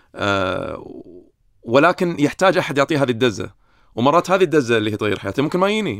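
Talking at a very fast pace with a Kuwaiti accent, a man is heard in a very clean recording with a silent background. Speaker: psychiatrist. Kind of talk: casual interview.

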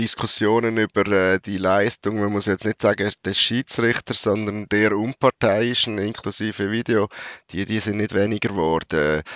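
A man at a fairly low pitch, moderate in pace, with monotone, flat intonation. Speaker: football journalist. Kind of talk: casual chat.

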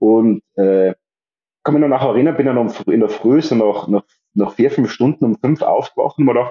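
This is a man speaking. His pitch moves with ordinary variation. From Austria, Tyrol. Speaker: psychiatrist and amateur long-distance cyclist. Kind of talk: podcast interview. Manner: halting, many repetitions and fillers.

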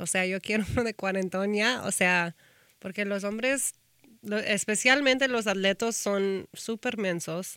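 Her bright, sharp tone carries a woman's medium-pitched voice at a fairly slow pace with ordinary pitch variation, dry and close with no echo, on a very clean recording with a silent background. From Texas, Austin. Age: 30s. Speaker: talent manager and influencer. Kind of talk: casual interview.

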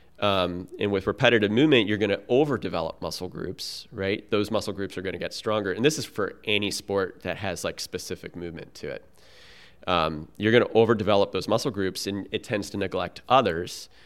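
A man with a plain, everyday voice talks at a fairly quick pace in a fairly low pitch. His pitch variation is ordinary, and the recording is very clean with a silent background. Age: 40s. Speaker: paddler, coach and physical therapy student. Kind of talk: casual chat. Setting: in person.

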